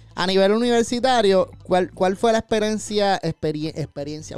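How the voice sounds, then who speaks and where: A man's high-pitched voice with lively intonation and a Puerto Rican accent. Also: hardly any pauses. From Puerto Rico, Caguas. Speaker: podcast host. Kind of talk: casual interview chat.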